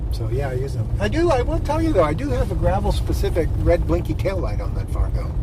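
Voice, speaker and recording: A man talks very fast, with hardly any pauses. Room echo is audible, along with noticeable background noise. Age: 60s. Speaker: long-distance gravel cyclist. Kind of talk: casual chat. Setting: on the road recording.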